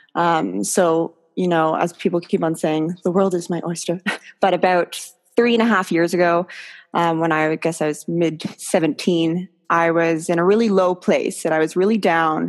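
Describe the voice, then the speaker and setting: A woman with a Canadian accent has an ordinary speaking voice, fairly low in pitch, with fairly even intonation. She talks at a moderate pace against a quiet background. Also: very even loudness. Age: 20s. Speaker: hand balancer. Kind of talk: interview. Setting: podcast.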